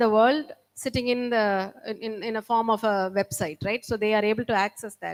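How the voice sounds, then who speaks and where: In a very clean recording against a silent background, the talking keeps a moderate pace. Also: woman. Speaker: session moderator. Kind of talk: panel discussion. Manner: hesitant, pausing while thinking.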